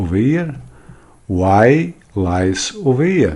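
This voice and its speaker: A fairly low-pitched man with a Portuguese accent and very wide pitch swings. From Portugal. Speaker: math teacher. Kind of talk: tutorial. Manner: halting.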